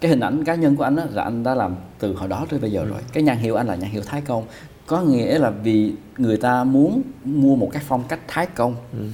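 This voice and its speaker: Audible room echo surrounds a man speaking fairly quickly at a medium pitch with lively intonation. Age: 40s. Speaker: fashion designer and YouTuber. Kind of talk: casual chat.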